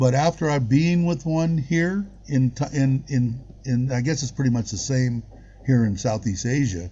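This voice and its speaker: Somewhat breathy, a man with an American accent speaks at a moderate pace and medium pitch, with ordinary pitch variation. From United States. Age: 60s. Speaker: expat living in Thailand, live-stream host. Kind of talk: casual chat on a live stream.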